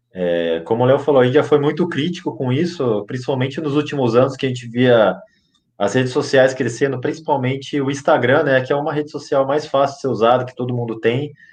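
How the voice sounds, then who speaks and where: This plain, everyday voice moves at a fairly brisk clip with ordinary pitch variation. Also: man. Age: 20s. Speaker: football fan podcast contributor. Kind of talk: casual chat.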